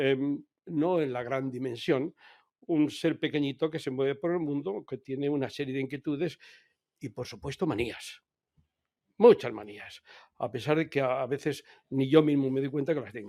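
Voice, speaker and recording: At a moderate pace with long, frequent pauses, a man's dark, mellow voice sits at a fairly high pitch with ordinary pitch variation, in a dry, close sound with no echo. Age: 70s. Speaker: author. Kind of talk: interview. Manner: hesitant.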